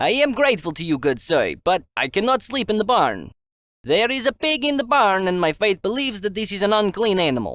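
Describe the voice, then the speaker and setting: A put-on character voice with a fairly high pitch moves at a fairly quick pace in a very clean recording with a silent background. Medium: read story.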